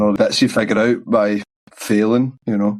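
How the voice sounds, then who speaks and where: A man with a Glasgow accent, medium pitch, monotone, flat intonation and a fairly quick pace. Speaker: musician. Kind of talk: interview answer. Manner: casual.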